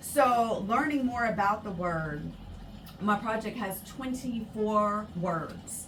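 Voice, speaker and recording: A woman with a fairly high pitch and ordinary pitch variation speaks at a very slow pace, with audible room echo and noticeable background noise. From Virginia, Hampton Roads area. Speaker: student researcher in linguistics. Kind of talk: radio interview. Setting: radio studio.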